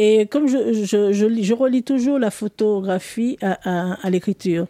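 At a fairly slow pace, a woman speaks in a dark, mellow tone with ordinary pitch variation, the sound dry and close with no echo in a very clean recording over a silent background. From Martinique. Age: 50s. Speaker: photographer and writer. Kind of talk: interview.

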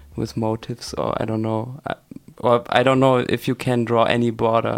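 A man is talking. He has a German accent. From Germany, Hanover. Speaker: electronic music producer. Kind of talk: radio interview. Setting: radio studio.

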